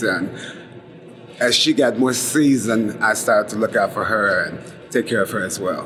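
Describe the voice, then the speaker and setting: A man with an American accent, medium pitch and a moderate pace, over noticeable background noise. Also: ordinary pitch variation. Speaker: HIV/AIDS activist. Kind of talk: oral history interview answer.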